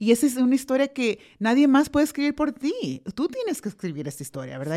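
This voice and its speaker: A woman speaks with very wide swings in pitch. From El Salvador. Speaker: educator and life coach. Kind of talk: interview.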